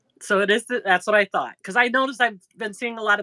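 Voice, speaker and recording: A woman with a Chicago accent speaks at a fairly high pitch, recorded with a dry, close sound and no echo. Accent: Chicago-area Midwest. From northern Indiana, near Chicago. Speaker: crochet YouTuber. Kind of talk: casual live-stream chat.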